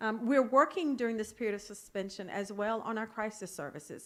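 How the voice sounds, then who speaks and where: With an American accent, a woman speaks at a fairly high pitch on a very clean recording with a silent background. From North Carolina. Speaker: state health department official. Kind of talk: policy presentation to legislators. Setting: conference talk with timing lights. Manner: fast.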